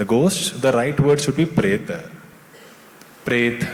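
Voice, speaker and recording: This man talks with an Indian accent. There is noticeable background noise behind him. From India, Kerala, raised in Delhi. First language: Tulu. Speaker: author and screenwriter. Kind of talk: literature festival interview.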